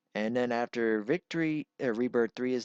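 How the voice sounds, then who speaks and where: Dry, close sound with no echo, at a moderate pace with ordinary pitch variation. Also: man. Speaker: gaming YouTuber. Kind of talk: channel update monologue. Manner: halting.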